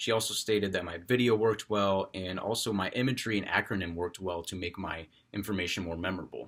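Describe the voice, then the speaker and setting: With a very deep, low voice and fairly even intonation, a man talks at a very fast pace with hardly any pauses in a very clean recording with a silent background. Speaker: college student. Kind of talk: class speech. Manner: properly paced; loud, projected.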